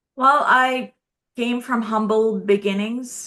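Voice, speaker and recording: A woman with a non-native accent speaks in a bright, sharp tone. Her pace is fairly slow, with ordinary pitch variation. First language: not English. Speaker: cybersecurity expert and IT manager. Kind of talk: interview.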